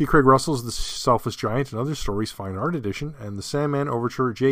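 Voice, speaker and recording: On a very clean recording with a silent background, a man with a normal speaking voice talks at a fairly quick pace with ordinary pitch variation. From Canada. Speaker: podcast host. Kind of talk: solo podcast monologue. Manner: casual, with frequent fillers.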